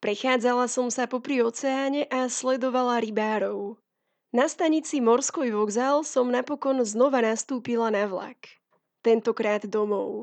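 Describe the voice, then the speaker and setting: A woman speaks at a fairly slow pace and a high pitch, with ordinary pitch variation. The background is quiet. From Slovakia. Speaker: travel writer. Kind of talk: scripted narration.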